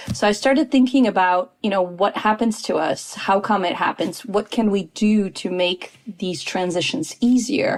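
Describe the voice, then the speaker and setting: A woman with an American accent talks at a moderate pace over noticeable background noise. Her pitch is medium, with ordinary variation. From United States, Polish family. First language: Polish. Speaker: intercultural consultant. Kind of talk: podcast interview.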